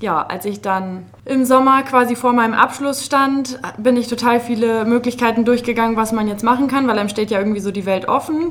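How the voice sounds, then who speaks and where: A woman talks fairly quickly in a high pitch with hardly any pauses and ordinary pitch variation. Background noise is noticeable. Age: 20s. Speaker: master hairdresser. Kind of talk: casual interview. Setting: studio.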